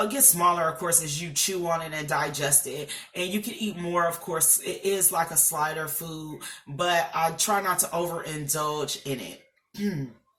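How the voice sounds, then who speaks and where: Amid noticeable background noise, a woman speaks at a moderate pace and a fairly low pitch with ordinary pitch variation. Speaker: vlogger sharing weight loss surgery journey. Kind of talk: casual vlog talk to camera. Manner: hesitant fillers, um and uh.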